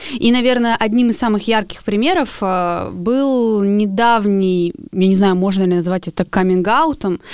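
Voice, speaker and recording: Here a woman speaks in a normal speaking voice at a medium pitch. Her pitch variation is ordinary. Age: 20s. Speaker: podcast co-host, artist and blogger. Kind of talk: casual chat.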